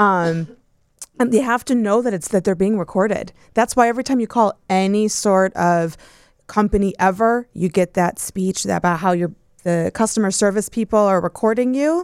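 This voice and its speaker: Recorded very cleanly against a silent background with a dry, close sound and no echo, a woman has an ordinary speaking voice, medium pitch, ordinary pitch variation and a moderate pace. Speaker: divorce lawyer. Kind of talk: casual panel discussion.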